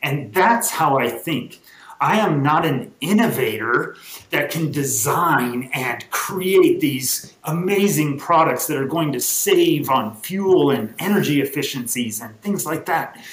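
A man with a fairly high pitch talks at a very slow pace, with lively intonation. Noticeable background noise and audible room echo can be heard. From Southern California, Los Angeles area. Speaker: nonprofit ranch president. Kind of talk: interview.

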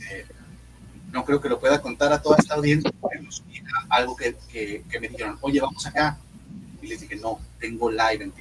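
A man talks at a moderate pace with long, frequent pauses and big swings in loudness. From Monterrey, northern Mexico. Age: 20s. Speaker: comedian. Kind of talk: casual chat.

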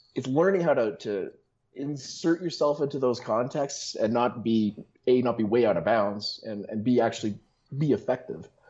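Lively intonation marks an unremarkable speaking voice delivered at a moderate pace. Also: man, medium pitch for a man. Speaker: online fitness coach. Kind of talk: casual chat.

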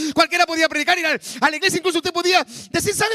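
A man's raised, projected voice has a bright, sharp tone and a dry, close sound with no echo. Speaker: pastor. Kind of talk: sermon.

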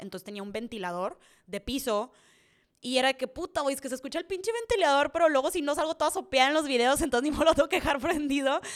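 In a very clean recording with a silent background, a woman talks at a very fast pace in an animated tone, her loudness swinging widely. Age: 20s. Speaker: content creator. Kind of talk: casual Q&A monologue.

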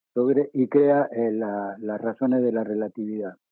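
A man talks here. His pace is very slow. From Mendoza, Argentina. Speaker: former radio broadcaster. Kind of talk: interview.

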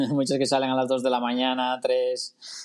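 A man uses a plain, everyday voice, his pitch fairly high and his pace moderate. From Asturias, Tineo. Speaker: amateur triathlete. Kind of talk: casual chat.

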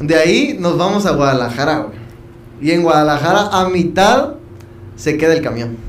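A man with a fairly high pitch and lively intonation talks at a moderate pace, leaving long, frequent pauses. The recording carries audible room echo and noticeable background noise. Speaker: podcast host. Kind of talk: casual chat.

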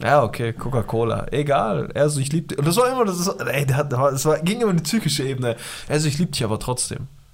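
Talking at a very fast pace, a man with a fairly high pitch uses an animated tone and lively intonation over noticeable background noise. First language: Pashto (speaking German). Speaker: podcast co-host. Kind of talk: casual chat.

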